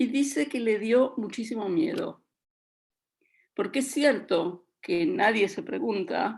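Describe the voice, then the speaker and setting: A woman's fairly high voice with very wide pitch swings, in a very clean recording with a silent background. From Latin America. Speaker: children's book author. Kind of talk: radio panel discussion.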